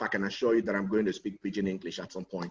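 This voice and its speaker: A man speaks with a Nigerian accent. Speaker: lawyer and relationship consultant. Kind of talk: conference talk. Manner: animated.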